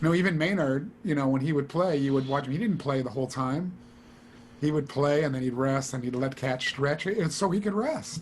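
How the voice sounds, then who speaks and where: There is noticeable background noise behind this man. He speaks at a fairly high pitch and a fairly quick pace with ordinary pitch variation. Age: 60s. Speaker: studio trumpet player. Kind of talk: casual interview chat.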